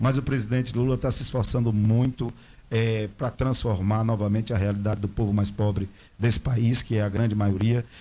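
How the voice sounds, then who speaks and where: Over a silent background in a very clean recording, a man speaks in a dark, mellow tone that is somewhat breathy. His loudness is very even and his intonation monotone and flat. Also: medium pitch for a man, moderate pace. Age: 50s. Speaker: local political representative. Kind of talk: interview.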